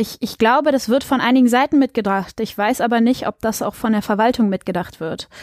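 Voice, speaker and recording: An unremarkable speaking voice from a woman, fairly high in pitch with ordinary pitch variation, moves at a fairly quick pace with hardly any pauses. The recording is very clean with a silent background and a dry, close sound with no echo. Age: 20s. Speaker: local council candidate and student. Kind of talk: interview.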